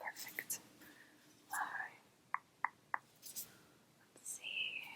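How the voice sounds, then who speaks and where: Whispering and soft-spoken, a woman talks over noticeable background noise. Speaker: ASMR artist doing a brow-styling roleplay. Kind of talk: ASMR roleplay, salon receptionist and brow stylist talking to the viewer. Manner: whispered, soft-spoken.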